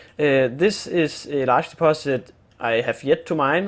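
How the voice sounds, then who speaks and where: A man with a Danish accent, fairly high pitch and ordinary pitch variation. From Denmark. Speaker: gaming youtuber. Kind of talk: gameplay tutorial. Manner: halting, many fillers and repeats.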